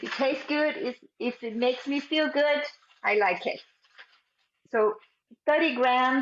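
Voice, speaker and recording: Speaking at a fairly slow pace, a woman uses a high voice with a Brazilian accent. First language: Portuguese. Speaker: cooking instructor. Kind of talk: cooking class tutorial.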